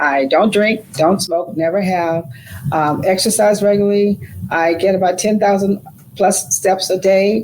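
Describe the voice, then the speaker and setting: Noticeable background noise sits behind a woman with a medium pitch. Her loudness stays very even, and her pitch varies in an ordinary way. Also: fairly slow pace. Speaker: retired educator. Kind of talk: interview answer.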